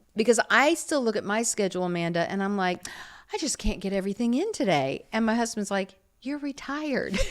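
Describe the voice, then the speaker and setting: A plain, everyday voice from a woman with an American accent, fairly high in pitch, with lively intonation and a fairly quick pace. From New York. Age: 50s. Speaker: retired TV news anchor. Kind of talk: casual chat.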